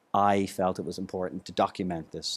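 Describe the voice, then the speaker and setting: Speaking with an Irish accent, a man has a very deep, low voice. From Ireland, Dublin then Bailieborough. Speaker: songwriter, musician. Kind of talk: documentary interview.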